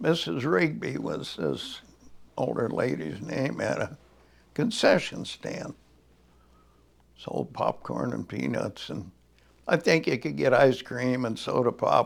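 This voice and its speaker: A man with an American accent at a very slow pace, with long, frequent pauses. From northern Indiana, US Midwest. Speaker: oral history interviewee. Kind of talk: oral history interview. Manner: halting, with many fillers.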